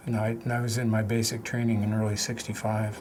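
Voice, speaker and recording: A man with an American accent speaks at medium pitch and a moderate pace in a flat monotone, with audible room echo and noticeable background noise. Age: 60s. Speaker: war veteran. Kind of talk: testimony. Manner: halting.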